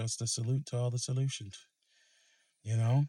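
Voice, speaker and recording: In a very clean recording with a silent background, a man with a dark, mellow tone speaks at medium pitch and moderate pace, somewhat breathy and monotone, with flat intonation. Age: young. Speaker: podcaster and vlogger. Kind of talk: casual monologue vlog. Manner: halting, stuttering.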